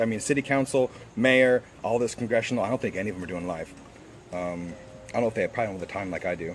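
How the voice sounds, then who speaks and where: This man has a medium pitch and talks at a very fast pace. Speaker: school board candidate. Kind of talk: live stream Q&A. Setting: live video stream. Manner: halting, many fillers.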